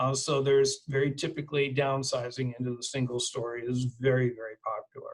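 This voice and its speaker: This man speaks fairly quickly with hardly any pauses, his delivery flat and monotone. His voice is somewhat breathy. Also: medium pitch for a man. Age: 60s. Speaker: reverse mortgage specialist. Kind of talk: webinar presentation. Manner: hesitant, many fillers.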